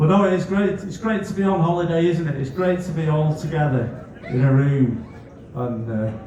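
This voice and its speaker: Lively intonation from a man at fairly high pitch and moderate pace, with noticeable background noise and audible room echo. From northwest England, Netherton, Bootle (Merseyside). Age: 40s. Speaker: comedian. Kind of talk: stand-up.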